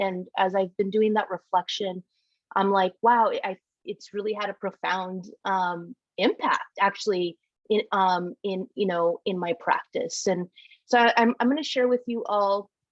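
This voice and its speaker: Recorded dry and close with no echo, a woman with an American accent talks at a moderate pace and medium pitch, with ordinary pitch variation. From rural US, Mexican American family. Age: 30s. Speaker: city planner. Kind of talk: panel discussion. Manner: halting, many fillers.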